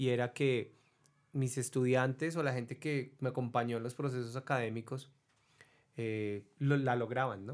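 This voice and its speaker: A man with a plain, everyday voice speaks at a medium pitch with fairly even intonation, recorded very cleanly against a silent background. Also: fairly slow pace. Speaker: podcast host. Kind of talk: casual chat.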